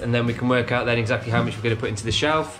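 Male speaker with faint music in the background. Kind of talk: tutorial. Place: kitchen. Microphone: phone near.

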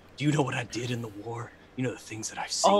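A man's put-on character voice, medium in pitch and delivered at a very fast pace. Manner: gruff, menacing.

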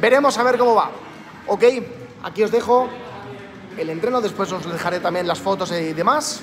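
Over light background noise, a man talks at a fairly quick pace. His pitch is high. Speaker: fitness coach. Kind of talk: workout instruction. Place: gym. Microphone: phone near.

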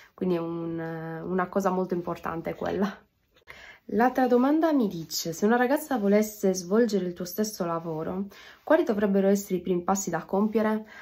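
Dark, mellow tone with lively intonation. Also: woman, fairly quick pace. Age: 20s. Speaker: DJ; interviewee. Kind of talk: self-interview. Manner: halting. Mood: calm, reflective. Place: home room. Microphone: phone near.

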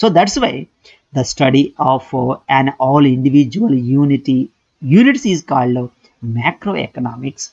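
A man talks with ordinary pitch variation, and the background stays quiet. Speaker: economics lecturer. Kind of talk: lecture.

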